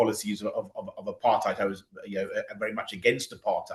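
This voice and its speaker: This man has a British accent. His speech comes at a very fast pace. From Britain. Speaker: political activist. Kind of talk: interview.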